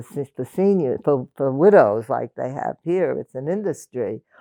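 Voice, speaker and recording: With a New York accent, a woman speaks fairly slowly, her pitch swinging very widely. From Brooklyn, New York. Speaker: oral history interviewee. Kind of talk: oral history interview. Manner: halting, many restarts.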